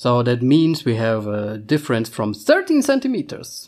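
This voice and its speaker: The speaker is a man with a German accent. He keeps a moderate pace. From Germany. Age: 30s. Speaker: podcast co-host. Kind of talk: casual chat.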